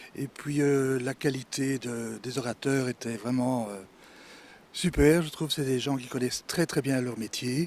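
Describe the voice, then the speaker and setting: The voice is an unremarkable speaking voice with fairly even intonation. It moves at a fairly slow pace. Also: man, medium pitch for a man. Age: 60s. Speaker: retired florist. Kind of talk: interview.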